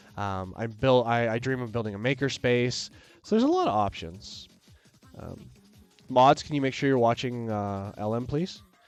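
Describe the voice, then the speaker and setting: The speaker goes at a moderate pace with ordinary pitch variation while music plays in the background. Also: man. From Canada. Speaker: maker and streamer. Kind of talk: live stream chat. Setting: live stream. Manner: rambling, casual.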